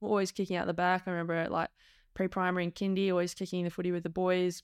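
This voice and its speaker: The recording is very clean, with a silent background. A woman speaks in an Australian accent. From Perth, Western Australia. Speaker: former professional footballer. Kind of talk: casual interview chat.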